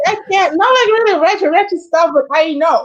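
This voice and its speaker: In a Dominican accent, a woman speaks at an extremely high pitch in an animated tone. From Dominican Republic. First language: Spanish. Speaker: YouTuber hosting live chat. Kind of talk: casual chat.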